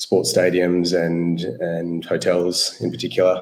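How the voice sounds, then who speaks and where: His pitch is very deep and low. The room adds an audible echo to the man's voice. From Australia. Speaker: tech company CEO. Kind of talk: panel discussion.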